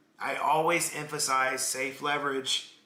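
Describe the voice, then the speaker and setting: Amid noticeable background noise and audible room echo, a man speaks with fairly high pitch and monotone, flat intonation. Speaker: crypto trading streamer. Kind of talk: live stream market analysis chat. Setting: live stream. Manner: casual, conversational.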